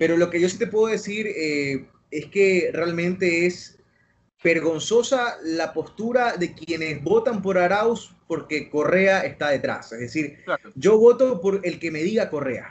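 Pitched high, a man speaks at a fairly slow pace with lively intonation. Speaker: journalist. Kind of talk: casual chat.

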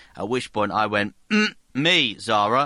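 The voice carries a bright, sharp tone. It speaks with a southern English accent. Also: man, quiet background. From South Hertfordshire, England. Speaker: sports podcast host. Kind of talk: casual chat.

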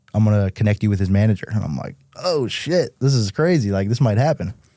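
In a very clean recording with a silent background and a dry, close sound with no echo, a man with a fairly low pitch and a dark, mellow tone talks at a fairly quick pace. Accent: American. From Massachusetts, New England. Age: 30s. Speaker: musician. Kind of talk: casual chat. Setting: studio.

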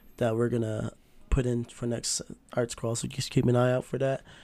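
Music plays in the background as a man talks fairly quickly at a medium pitch. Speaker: podcast host. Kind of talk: casual chat.

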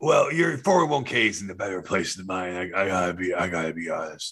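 A man's very deep, low pitch at a moderate pace, with big swings in loudness. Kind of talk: comic overacting. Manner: smug, rambling.

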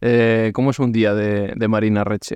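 A man with an unremarkable speaking voice, medium in pitch and fairly slow in pace, over a quiet background. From Basque Country. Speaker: podcast host. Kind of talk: casual interview.

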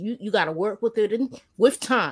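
A woman with an ordinary speaking voice talks at a fairly quick pace with ordinary pitch variation. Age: 40s. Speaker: panelist. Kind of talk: casual chat. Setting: online video call.

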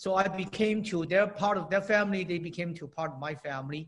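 This man's voice is high-pitched, with ordinary pitch variation. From China. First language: Chinese. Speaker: inventor and entrepreneur. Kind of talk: interview. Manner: halting.

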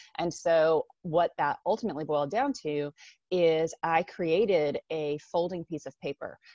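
A woman with an American accent speaks at a fairly slow pace in a plain, everyday voice, her fairly low pitch showing ordinary variation. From US, Japanese American family. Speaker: time management coach and entrepreneur. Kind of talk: interview.

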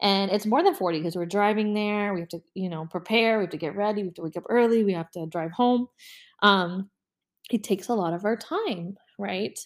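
A woman at medium pitch, ordinary pitch variation and a fairly quick pace on a very clean recording with a silent background. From US South. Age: 20s. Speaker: podcast host. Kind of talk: casual monologue.

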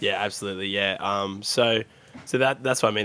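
This man talks fairly quickly. His pitch is fairly low. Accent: Australian. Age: 20s. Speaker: video game streamer. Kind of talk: casual chat. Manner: animated.

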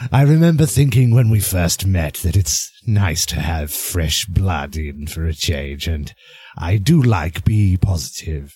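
At a fairly slow pace, a man speaks with a very deep, low pitch and lively intonation. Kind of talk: horror anthology narration. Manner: soft, sinister, wry.

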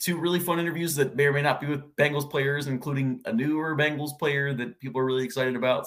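A man speaks at a very fast clip. His pitch sits fairly high for a man. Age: 20s. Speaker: sports podcaster. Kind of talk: casual chat.

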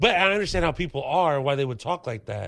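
A man with an unremarkable speaking voice talks at a fairly quick pace and fairly high pitch, with lively intonation over a quiet background. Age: 30s. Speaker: stand-up comedian. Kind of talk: casual chat.

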